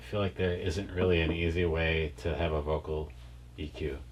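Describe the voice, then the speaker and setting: With vocal fry and a very deep, low pitch, a man speaks at a moderate pace with ordinary pitch variation. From Wisconsin. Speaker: rock band singer. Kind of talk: interview. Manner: casual, hesitant with fillers.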